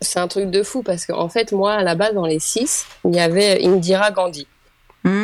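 In a normal speaking voice, a woman talks at a moderate pace with a medium pitch and fairly even intonation. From Île-de-France, France. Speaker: creator of a social media project on women. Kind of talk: casual interview chat.

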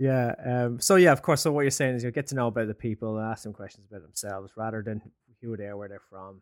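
Speaking at a very fast pace with an Irish accent, a man uses a medium pitch, ordinary pitch variation and big swings in loudness. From Ireland. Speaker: podcast co-host, HR tech advisory founder. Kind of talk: interview.

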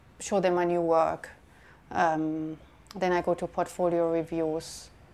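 On a very clean recording with a silent background, a woman speaks at a fairly slow pace. She has a German accent and a fairly low pitch. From Germany. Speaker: documentary photographer. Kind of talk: interview. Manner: hesitant, with fillers.

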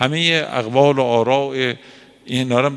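A man speaks at a medium pitch with fairly even intonation. He has a plain, everyday voice. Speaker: cleric teaching a seminary lesson. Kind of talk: lecture. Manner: conversational, colloquial.

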